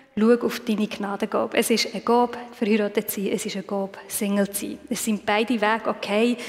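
Over noticeable background noise, a woman talks in a fairly high voice. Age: 30s. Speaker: lay preacher. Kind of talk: sermon.

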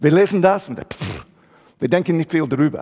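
This man speaks in an English accent at a fairly high pitch. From England. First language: English (speaking German). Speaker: pastor. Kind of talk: sermon.

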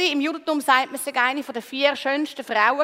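A woman is speaking. Her pitch is high. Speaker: preacher. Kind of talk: sermon. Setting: church stage with congregation.

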